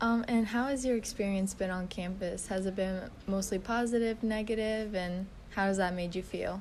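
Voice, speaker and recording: Fairly even intonation from a woman, with audible room echo. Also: medium pitch for a woman, moderate pace. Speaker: student interviewer. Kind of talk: interview.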